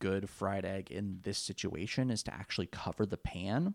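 A man with a Californian accent at a moderate pace, dry, close sound without echo, very clean recording over a silent background. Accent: Californian American English. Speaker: podcast co-host. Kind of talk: casual chat.

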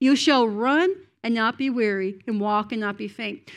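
A woman with a Cape Breton accent talks at a moderate pace in a fairly high voice with ordinary pitch variation. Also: very clean recording, silent background. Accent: Cape Breton Canadian English. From Cape Breton Island, Nova Scotia, Canada. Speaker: preacher. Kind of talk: sermon. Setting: church.

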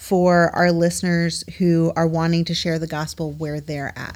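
Here a woman has an unremarkable speaking voice with a fairly low pitch. She talks at a moderate pace. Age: 30s. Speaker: podcast host. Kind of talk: casual chat. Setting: studio.

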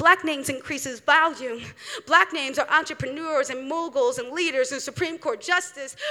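Over noticeable background noise, a woman projects a raised voice at an extremely high pitch, moving at a moderate pace with ordinary pitch variation. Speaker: spoken word poet. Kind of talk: spoken word performance. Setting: stage with audience.

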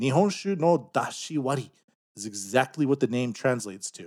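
In a Canadian accent, a man talks in an ordinary speaking voice at medium pitch with lively intonation, recorded very cleanly against a silent background with a dry, close sound and no echo. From Canada. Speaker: podcast host. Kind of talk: casual banter podcast. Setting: studio.

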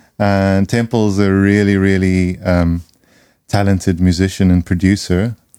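Very clean and silent behind him, a man speaks at a very deep, low pitch. His pace is fairly slow, and his intonation is monotone and flat. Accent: South African. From South Africa. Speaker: music producer and podcast host. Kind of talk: casual chat. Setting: studio.

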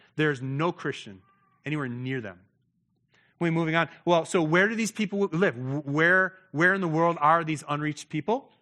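Over a quiet background with a dry, close sound and no echo, a man with an American accent speaks at a moderate pace in an ordinary speaking voice, fairly high in pitch with ordinary pitch variation. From United States. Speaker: missionary pastor. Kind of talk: sermon.

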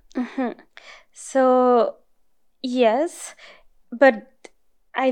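A woman speaks at a high pitch in a Mexican accent. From northern Mexico. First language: Spanish. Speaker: neuroscience postdoc. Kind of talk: interview. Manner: frequent laughter.

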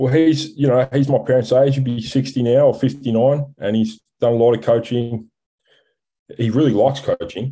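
Speaking with an Australian accent, a man has a medium pitch, a dark, mellow tone, a somewhat breathy quality and fairly even intonation. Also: moderate pace. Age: 30s. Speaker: rugby commentator and club player. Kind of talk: casual chat.

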